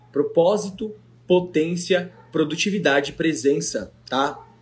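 A man's high-pitched voice. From Brazil, São Paulo metro area (Ferraz de Vasconcelos). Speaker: podcast host, motivational speaker. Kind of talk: motivational talk, casual live chat. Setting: live video stream on 4G. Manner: animated.

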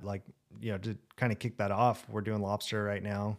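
In an American accent, a man with an ordinary speaking voice talks at a moderate pace and a fairly low pitch. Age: 20s. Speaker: fishing podcast host. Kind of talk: casual chat.

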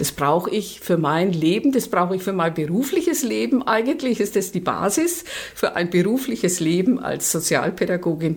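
Her pitch is medium, but this woman's voice swings very widely in pitch. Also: moderate pace. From Nuremberg, Franconia. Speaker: social worker, longtime communist party member. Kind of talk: personal testimony interview.

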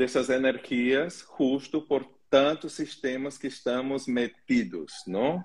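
Speaking at a very slow pace with hardly any pauses, the voice has a Portuguese accent and ordinary pitch variation. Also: man, medium pitch for a man. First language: Portuguese (speaking Spanish). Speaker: holistic therapist hosting a live stream. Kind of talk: casual panel discussion.

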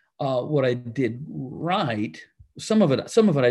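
The speaker is a man. His voice carries vocal fry. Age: 60s. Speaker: pastor. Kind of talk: casual chat.

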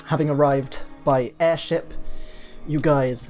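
Someone speaks with a British accent at a moderate pace. Music can be heard in the background. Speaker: tabletop game master, podcast host. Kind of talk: storytelling narration.

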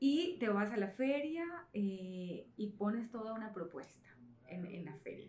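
A woman speaks at a fairly slow pace in a medium pitch. Her delivery has very wide pitch swings and big swings in loudness. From Caribbean coast of Colombia. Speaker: entrepreneur, children's room designer. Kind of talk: interview.

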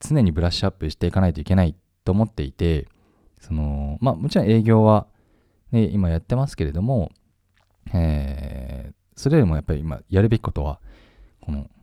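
A man with a very deep, low pitch and a dark, mellow tone speaks at a fairly quick pace with lively intonation. The recording is very clean, with a silent background and a dry, close sound with no echo. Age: 30s. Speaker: web media editor-in-chief hosting a solo podcast. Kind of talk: unscripted solo talk. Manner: casual, many fillers.

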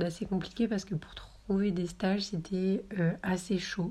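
A woman talks at a medium pitch and a moderate pace, somewhat breathy, in a dark, mellow tone. Her intonation stays monotone and flat. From southern France, Marseille. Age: 20s. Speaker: podcaster and student. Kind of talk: casual monologue. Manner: hesitant, many fillers.

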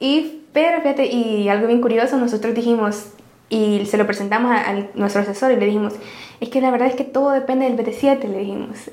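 A woman at a fairly high pitch, fairly quick and with fairly even intonation, in audible room echo with noticeable background noise. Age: 20s. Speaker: tech startup founder. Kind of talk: interview conversation. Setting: office.

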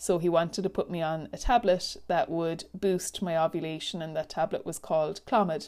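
A woman with an Irish accent speaks at a moderate pace in a fairly low voice, her intonation fairly even and hardly any pauses, on a very clean recording with a silent background. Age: 30s. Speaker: podcast host, life coach and teacher. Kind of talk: solo personal podcast monologue.

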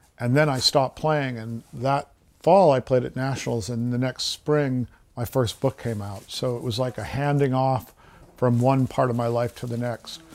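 At a moderate pace, a plain, everyday voice talks with fairly even intonation. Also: man, medium pitch for a man. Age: 50s. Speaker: nature writer. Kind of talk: interview.

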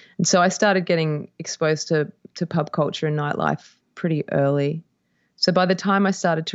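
A woman with a very deep, low pitch, fairly even intonation and an Australian accent. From Australia (Perth, Western Australia). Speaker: musician. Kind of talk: casual chat.

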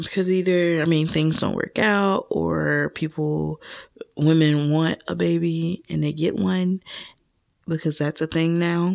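Over a quiet background, a woman with a fairly low pitch talks at a fairly slow pace with fairly even intonation. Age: 20s. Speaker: podcast host. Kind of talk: casual monologue. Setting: home, laundry room.

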